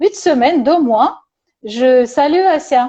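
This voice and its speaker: Lively intonation runs through speech in a Russian accent. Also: woman. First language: Russian (speaking French). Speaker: psychologist and therapist. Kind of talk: casual conversation on video call. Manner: halting, many hesitations.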